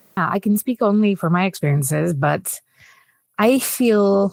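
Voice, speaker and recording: On a very clean recording with a silent background and dry, close sound with no echo, a woman speaks with a Greek accent. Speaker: AI product manager and author. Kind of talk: fireside chat interview. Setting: stage with audience.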